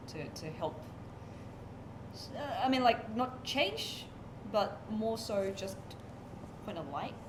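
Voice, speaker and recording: Over noticeable background noise, a woman with a fairly high pitch speaks at a very slow pace. She takes long, frequent pauses, and her pitch swings very widely. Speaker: interviewer, channel host. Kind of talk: interview questions.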